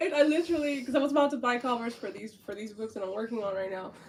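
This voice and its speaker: A woman with an animated tone at a very fast pace, amid noticeable background noise. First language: Spanish. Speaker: author and artist. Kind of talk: casual interview chat.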